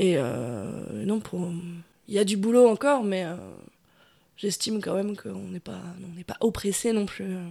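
Speaking at a fairly slow pace with long, frequent pauses, a woman uses a dark, mellow tone, very wide pitch swings and big swings in loudness. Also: medium pitch for a woman. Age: 20s. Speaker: bar owner. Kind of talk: interview. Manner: hesitant, many fillers.

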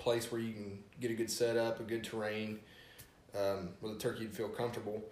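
At a moderate pace, someone speaks with an Appalachian accent amid audible room echo. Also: man. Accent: Appalachian American. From West Virginia. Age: 20s. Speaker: turkey hunter. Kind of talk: casual chat.

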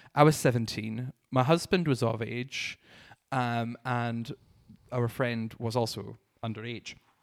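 A man speaks in a southern Scottish accent at a medium pitch. His pace is fairly slow and his intonation fairly even. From Scotland, Dumfries and Galloway. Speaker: drag artist and podcast host. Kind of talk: casual chat. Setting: studio.

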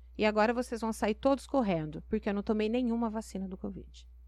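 A woman is speaking. The background is quiet. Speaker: mayor. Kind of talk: interview.

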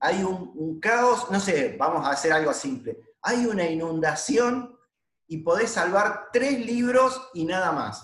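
The voice moves very slowly, its pitch swinging very widely. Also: man. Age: 50s. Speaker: podcast host, multilevel marketing distributor. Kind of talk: casual interview.

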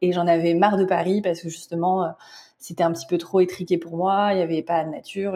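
The voice has a dark, mellow tone and a monotone, flat intonation, moving at a fairly quick pace. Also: woman. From France. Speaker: spiritual guide and tarot reader. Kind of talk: interview.

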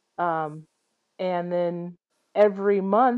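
A woman with a Midwestern American accent and fairly even intonation. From US Midwest, Iowa. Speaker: airline captain. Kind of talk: interview, personal story.

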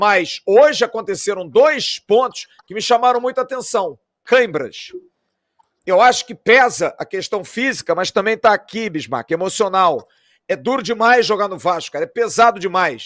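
This man talks at a moderate pace in a high pitch with lively intonation and big swings in loudness, recorded dry and close with no echo on a very clean recording with a silent background. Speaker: football podcast host. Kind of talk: post-match football talk show. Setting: at the stadium.

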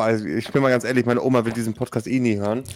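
A very fast pace with fairly even intonation. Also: man. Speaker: podcast co-host. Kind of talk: casual chat. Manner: quieter than usual.

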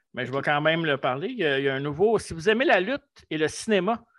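Speaking in a Quebec accent, a man talks at a very fast pace. His voice is high, and the background is quiet. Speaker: wrestling podcast co-host. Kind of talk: casual chat.

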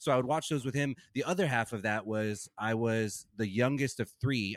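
With an American accent, a man talks in an ordinary speaking voice at a medium pitch and a fairly quick pace, with ordinary pitch variation, in a very clean recording with a silent background and a dry, close sound with no echo. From US South, Bible Belt. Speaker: podcast co-host and musician. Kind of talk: casual chat.

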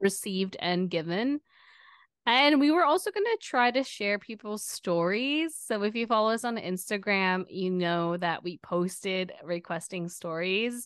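A woman's normal speaking voice at medium pitch, with lively intonation, a fairly slow pace and a quiet background. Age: 30s. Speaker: podcast co-host. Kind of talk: casual chat.

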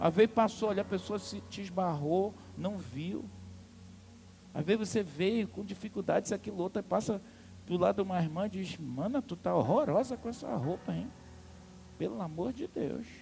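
Over music in the background, a man with a high pitch and lively intonation speaks at a moderate pace, leaving long, frequent pauses. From Amazonas, Brazil. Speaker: pastor. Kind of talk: sermon. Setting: church. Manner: animated.

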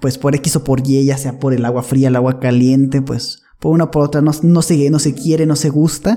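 In an ordinary speaking voice, a man with a fairly high pitch talks at a moderate pace with very even loudness, fairly even intonation and hardly any pauses. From northern Mexico. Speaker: podcast guest. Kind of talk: casual chat.

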